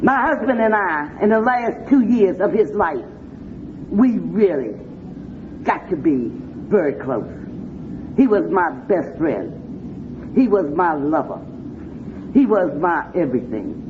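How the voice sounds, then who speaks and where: In an American accent, a woman talks in an animated tone at a fairly slow pace, with very wide pitch swings, long, frequent pauses and audible room echo. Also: medium pitch for a woman. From Washington D.C. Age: 60s. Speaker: recovering addict speaker. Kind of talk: recovery meeting talk.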